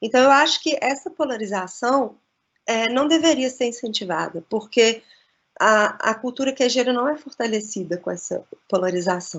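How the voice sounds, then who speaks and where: Lively intonation from a woman, fairly high in pitch, at a moderate pace. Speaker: cheese expert and lecturer. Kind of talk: lecture. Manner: halting.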